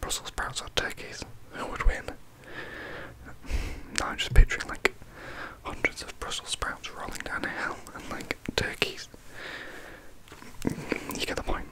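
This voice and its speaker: Whispering at a fairly slow pace with long, frequent pauses, a man keeps a relaxed tone while his loudness swings widely against noticeable background noise. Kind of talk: whispered ASMR facts reading. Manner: whispered, soft, relaxed.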